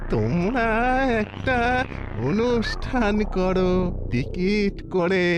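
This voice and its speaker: A cartoonish character voice at a middle pitch comes through loud background noise. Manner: proud, fussy.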